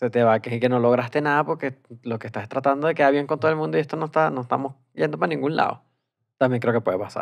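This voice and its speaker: A man speaks at a very fast pace with ordinary pitch variation over a quiet background. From Venezuela. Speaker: comedy podcast co-host. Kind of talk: casual chat. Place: studio.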